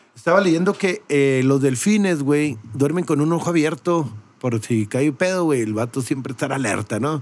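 A man speaks at a moderate pace with lively intonation. His pitch sits fairly high, in an unremarkable speaking voice. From Mexico. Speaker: podcast host. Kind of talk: casual chat.

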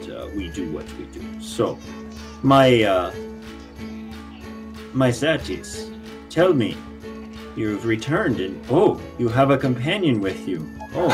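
A man talks at a fairly slow pace in a put-on character voice of medium pitch. Clear music plays in the background. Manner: warm, theatrical, hesitant with many pauses.

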